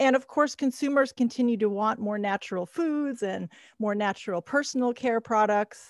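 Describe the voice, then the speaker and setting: In a plain, everyday voice with an American accent, a woman speaks at a moderate pace and fairly high pitch with ordinary pitch variation, the sound dry and close with no echo on a very clean recording with a silent background. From United States. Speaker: podcast host. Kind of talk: interview intro and conversation.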